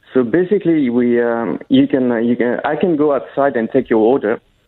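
At a fairly quick pace, a normal speaking voice moves through ordinary pitch variation. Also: man. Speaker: patisserie owner. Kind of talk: interview. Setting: phone call.

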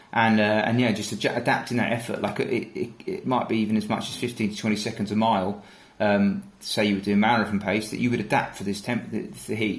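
Audible room echo surrounds the speaker, a man. He talks at a fairly quick pace. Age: 30s. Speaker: ultra runner and endurance team training manager. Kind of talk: casual interview.

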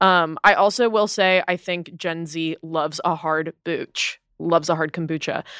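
On a very clean recording with a silent background and a dry, close sound with no echo, a woman with a normal speaking voice and fairly low pitch talks at a fairly slow pace with fairly even intonation and hardly any pauses. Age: 20s. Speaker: associate producer. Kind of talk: casual chat.

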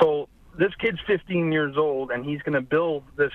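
A man with a normal speaking voice and a fairly high pitch talks at a fairly slow pace, using ordinary pitch variation. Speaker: caller. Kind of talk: casual chat. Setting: phone call.

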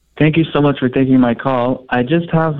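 This man has an unremarkable speaking voice and a fairly quick pace. His intonation stays fairly even. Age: 20s. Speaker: mortgage broker. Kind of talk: phone call-in.

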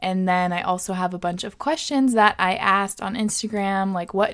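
With an ordinary speaking voice, a woman talks at a moderate pace in a medium pitch with ordinary pitch variation. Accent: American. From Washington State, US. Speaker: podcast host. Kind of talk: casual chat. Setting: studio.

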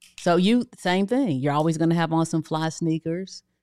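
The pace is fairly quick on a very clean recording with a silent background. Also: woman. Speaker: business coach. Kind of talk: casual chat. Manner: soft-spoken.

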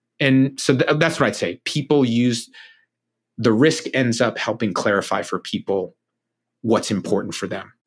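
A man speaks at a moderate pace in a medium pitch with ordinary pitch variation and a normal speaking voice, on a very clean recording with a silent background. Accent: American. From Ohio. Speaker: entrepreneur and author. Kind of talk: interview.

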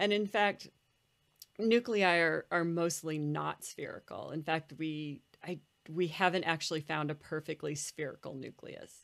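A woman with an unremarkable speaking voice talks at a fairly slow pace, with a fairly low pitch and ordinary pitch variation in an American accent. The recording is very clean, with a silent background. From United States. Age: 40s. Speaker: nuclear physicist. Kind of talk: interview conversation.

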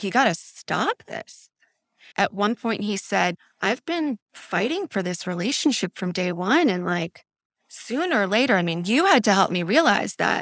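Very wide pitch swings at a moderate pace, in a dry, close sound with no echo and a very clean recording with a silent background. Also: woman, medium pitch for a woman. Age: 40s. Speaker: coaching client. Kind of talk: candid interview about personal life.

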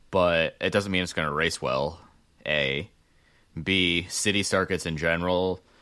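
A man speaks at a moderate pace in a bright, sharp tone. The recording is very clean, with a silent background. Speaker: racing podcast host. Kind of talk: casual chat. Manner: loud.

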